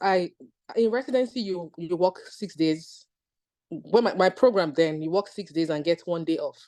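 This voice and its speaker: A woman's fairly low, dark, mellow voice with a Nigerian accent, at a moderate pace over a quiet background. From Nigeria (Lagos). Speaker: physician. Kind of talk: testimony.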